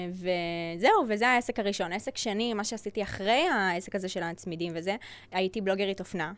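This woman has an unremarkable speaking voice, medium in pitch, with ordinary pitch variation and a moderate pace. The recording is very clean, with a silent background. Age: 20s. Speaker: digital agency owner and influencer. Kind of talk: casual interview chat.

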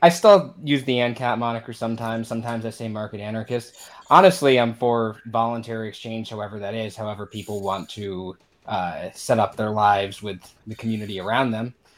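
In an ordinary speaking voice, a man talks at a fairly quick pace with hardly any pauses, a medium pitch, ordinary pitch variation and big swings in loudness. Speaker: podcast host. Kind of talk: casual panel discussion. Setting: video call.

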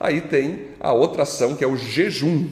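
A man speaks with a Brazilian accent at a fairly high pitch. Noticeable background noise sits behind him. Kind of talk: Bible study teaching. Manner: informal, colloquial.

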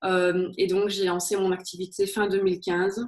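A woman talks, her pitch sitting in the medium range. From Belgium, Liège. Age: 30s. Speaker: HR consultant and career coach. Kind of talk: interview.

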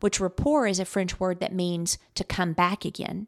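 A woman with an unremarkable speaking voice talks at a moderate pace and medium pitch, the sound dry and close with no echo on a very clean recording with a silent background. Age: 50s. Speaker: podcast host and business coach. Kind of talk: solo podcast monologue.

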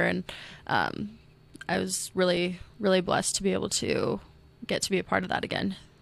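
A woman's flat, monotone delivery in a Midwestern American accent, on a very clean recording with a silent background. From Iowa (Ames). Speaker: basketball coach. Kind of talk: interview.

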